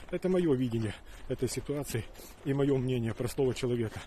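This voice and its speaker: A man talks at a fairly quick pace in a somewhat breathy voice with a dark, mellow tone, the sound dry with no echo and light background noise behind him. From Ukraine. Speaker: video blogger. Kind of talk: monologue to camera. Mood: serious, worried. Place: open country. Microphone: phone near.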